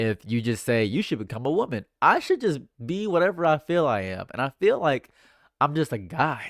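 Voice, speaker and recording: Dry and close with no echo, a man speaks with lively intonation on a very clean recording with a silent background. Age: 20s. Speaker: live streamer. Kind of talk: casual chat. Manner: fast.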